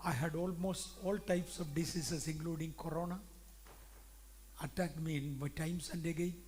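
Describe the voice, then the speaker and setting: In a room with audible echo, a man with a fairly high voice speaks at a fairly quick pace, flat and monotone, with long, frequent pauses. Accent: Indian. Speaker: pastor. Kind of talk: sermon. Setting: church conference.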